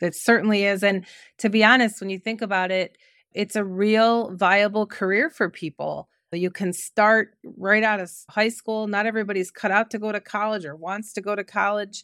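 Her intonation fairly even, a woman speaks in an Ohio accent. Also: medium pitch for a woman, moderate pace. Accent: Midwestern American (Ohio). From Cleveland, Ohio. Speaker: recruiting company founder and CEO. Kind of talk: interview.

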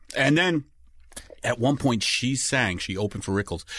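A man's bright, sharp tone and lively intonation at a moderate pace, with a quiet background. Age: 50s. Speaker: comedian. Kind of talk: casual chat. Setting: studio.

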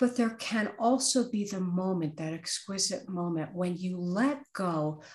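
A woman with a medium pitch and a somewhat breathy voice swings her pitch very widely as she talks. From US Northeast (Brooklyn, New York). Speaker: author and career coach. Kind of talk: interview.

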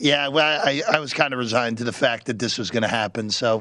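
It is a put-on character voice with a raspy sound. The delivery comes very fast. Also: man, medium pitch for a man. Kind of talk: casual conversation. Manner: unenthusiastic, resigned.

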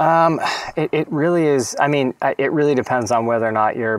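With a normal speaking voice and an American accent, a man talks at a fairly quick pace with ordinary pitch variation, and the sound is dry and close with no echo. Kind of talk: casual chat about a film.

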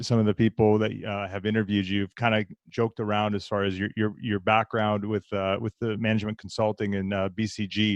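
A man speaks at a moderate pace in a normal speaking voice. His pitch is fairly low. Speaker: podcast host. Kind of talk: casual interview conversation.

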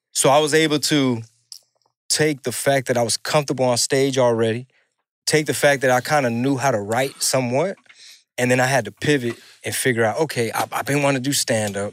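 Speaking with an American accent at a fairly quick pace, a man keeps a medium pitch and fairly even intonation in a dry, close sound with no echo. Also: very clean recording, silent background. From Houston, Texas (Mexican American). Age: 40s. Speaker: rapper and stand-up comedian. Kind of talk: casual chat.

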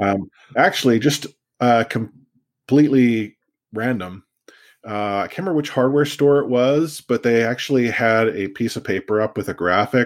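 A man with a Canadian accent talks at a moderate pace in an ordinary speaking voice, on a very clean recording with a silent background. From Canada, Vancouver. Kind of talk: casual chat.

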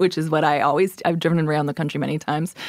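Someone with a Canadian accent speaks at a very fast pace. The intonation stays fairly even. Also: woman. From Canada. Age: 40s. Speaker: writer. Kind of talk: interview.

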